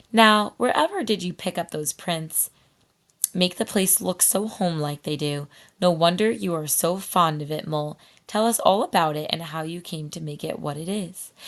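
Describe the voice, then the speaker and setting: Putting on a raspy character voice, a woman talks at a moderate pace with a fairly low pitch. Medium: read story. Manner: hearty, brisk.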